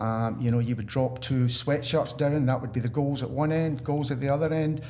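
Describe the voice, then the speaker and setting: This man has a medium pitch and a dark, mellow tone, speaking at a moderate pace. His intonation is fairly even, and audible room echo surrounds him. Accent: Scottish. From Scotland. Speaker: retail salesperson. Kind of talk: podcast interview.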